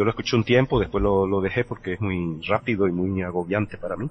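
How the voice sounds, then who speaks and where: Speaking at a fairly quick pace, a man uses a fairly low pitch with ordinary variation. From Venezuela. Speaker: podcaster. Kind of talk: casual chat.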